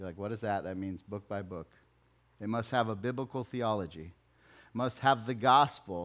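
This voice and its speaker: In a very clean recording with a silent background, a man with a normal speaking voice talks at a fairly low pitch and moderate pace with ordinary pitch variation. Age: 40s. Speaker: pastor. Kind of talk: sermon. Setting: church.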